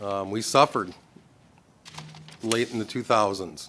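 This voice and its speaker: A man with an Upper Midwest accent. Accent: Upper Midwest American. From Minnesota, US (Anoka). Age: 50s. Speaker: political candidate. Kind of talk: candidate forum statement.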